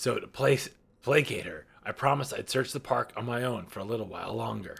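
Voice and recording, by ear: The speaker is a man doing a put-on character voice that sounds raspy. His medium-pitched delivery moves fairly quickly.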